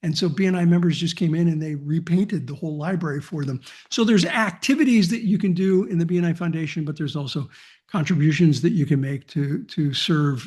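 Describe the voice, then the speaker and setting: A man with a fairly high pitch and ordinary pitch variation races at a very fast pace over a quiet background. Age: 60s. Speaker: business networking organization founder. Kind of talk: interview.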